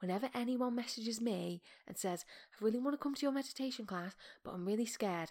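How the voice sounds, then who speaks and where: Here is a woman with an unremarkable speaking voice and ordinary pitch variation. She talks at a fairly quick pace. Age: 30s. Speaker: podcast host and meditation teacher. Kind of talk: casual monologue.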